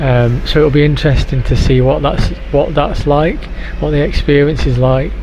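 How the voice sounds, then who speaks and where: Noticeable background noise and audible room echo fill the recording. A man talks at a moderate pace. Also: very even loudness. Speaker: travel vlogger. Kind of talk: travel vlog. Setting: airport lounge. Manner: whispering, quiet; hesitant with fillers.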